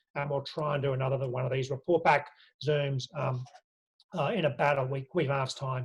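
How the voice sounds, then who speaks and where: Fairly quick, somewhat breathy speech from a man with a fairly high pitch, an Australian accent and fairly even intonation. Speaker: union official. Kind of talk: online briefing. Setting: video call. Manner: fast.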